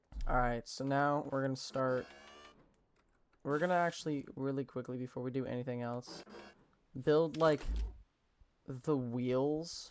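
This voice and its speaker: A soft-spoken voice moves at a fairly slow pace, broken by long, frequent pauses. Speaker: gaming youtuber. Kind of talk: gameplay commentary. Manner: halting.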